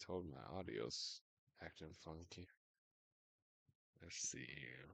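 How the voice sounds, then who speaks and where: Mumbling at a very slow pace, a man leaves long, frequent pauses while his loudness swings widely. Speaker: streamer. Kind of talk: casual chat. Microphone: audio too quiet.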